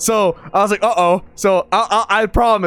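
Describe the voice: The voice in this recording is simply plain reading aloud.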